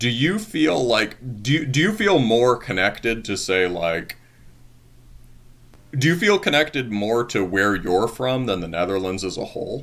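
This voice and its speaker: An American-accented man at medium pitch, with very wide pitch swings. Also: fairly slow pace. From United States. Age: 30s. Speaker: podcast host. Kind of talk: interview.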